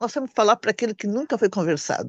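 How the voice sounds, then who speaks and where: Against a quiet background, a woman's fairly high voice comes through with a dry, close sound with no echo and ordinary pitch variation. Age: 60s. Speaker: party activist. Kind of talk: political meeting speech.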